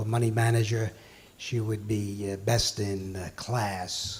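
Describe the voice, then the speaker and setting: Speaking at a fairly slow pace, a man with a New York accent keeps a fairly low pitch and a monotone, flat intonation. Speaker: financial executive, award presenter. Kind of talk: award ceremony speech. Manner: halting.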